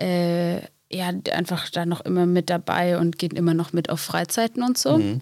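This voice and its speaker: A woman talks at a fairly low pitch with ordinary pitch variation. Her pace is fairly slow. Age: 20s. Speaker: school and youth social worker. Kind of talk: casual interview.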